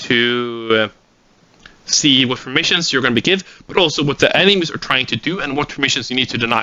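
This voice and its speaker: A man at a medium pitch with a Swedish accent, ordinary pitch variation and a fairly quick pace. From Sweden. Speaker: gaming tactics instructor. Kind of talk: lecture. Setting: recorded seminar without audience.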